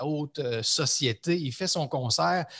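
Against a quiet background, a man talks at a fairly slow pace in an ordinary speaking voice. His pitch is fairly high, with ordinary variation. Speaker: leadership coach. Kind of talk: casual interview conversation.

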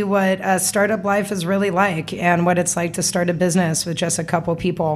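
An American accent shapes a woman's normal speaking voice, fairly low in pitch, with fairly even intonation. She keeps a moderate pace with hardly any pauses. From US West, Las Vegas. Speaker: entrepreneur. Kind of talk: casual interview. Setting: studio.

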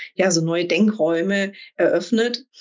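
Her voice sits in the middle pitch range. The speaker is a woman. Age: 40s. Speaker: executive coach and business angel. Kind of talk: interview.

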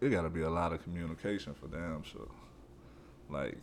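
This man talks at a moderate pace in a very deep, low voice with vocal fry. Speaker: podcast co-host. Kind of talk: casual chat. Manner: cool, laid-back delivery.

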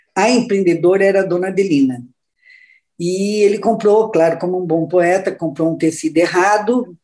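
A woman's medium-pitched voice with a dark, mellow tone, ordinary pitch variation, and a moderate pace. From Santa Catarina, Brazil (Luiz Alves, near Blumenau). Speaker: businesswoman and board member. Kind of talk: interview.

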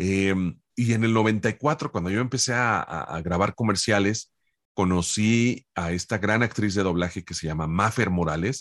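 In a plain, everyday voice, a man speaks at a fairly low pitch and a fairly slow pace with ordinary pitch variation against a quiet background. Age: 50s. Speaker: voice actor. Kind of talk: interview.

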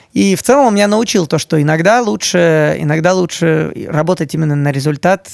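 A man speaks in a normal speaking voice at a moderate pace. His pitch is fairly high with ordinary variation, and the sound is dry and close with no echo. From Moscow, Russia. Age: 30s. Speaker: video editor. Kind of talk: interview.

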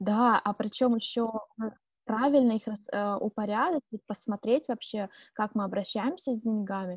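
A woman speaks at a moderate pace in a fairly high, somewhat breathy voice with ordinary pitch variation, the sound dry and close with no echo over a quiet background. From Siberia, Irkutsk region, Russia. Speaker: podcast co-host. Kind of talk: casual chat.

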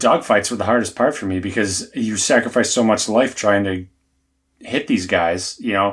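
In an American accent, a man with a normal speaking voice talks at a fairly quick pace and fairly low pitch with ordinary pitch variation, over a very clean recording with a silent background. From US South. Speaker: podcast co-host. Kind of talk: casual chat.

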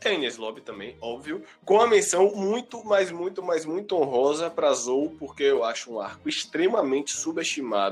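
With music in the background, a man talks in an animated tone at a fairly high pitch, swinging his pitch very widely and hardly pausing. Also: moderate pace. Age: 20s. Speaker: podcast host. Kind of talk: casual chat.

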